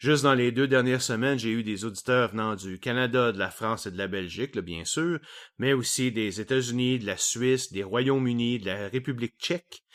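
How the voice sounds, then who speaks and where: A man speaks with a Quebec accent. His pitch sits in the medium range. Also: very clean recording, silent background. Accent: Québécois French. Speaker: science podcast host. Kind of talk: solo podcast monologue.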